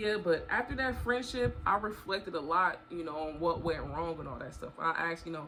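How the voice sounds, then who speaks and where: A woman with a plain, everyday voice talks at a fairly quick pace and fairly low pitch, with hardly any pauses. Her intonation is lively and her loudness swings widely. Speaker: storytime vlogger. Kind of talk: casual storytelling monologue.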